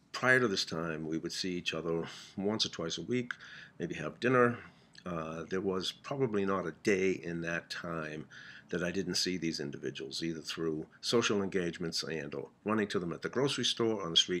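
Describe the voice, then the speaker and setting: The recording is very clean, with a silent background. A man with a very deep, low pitch and a bright, sharp tone speaks at a moderate pace with ordinary pitch variation. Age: 60s. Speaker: comedian. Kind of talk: casual storytelling monologue. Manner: halting, with frequent fillers.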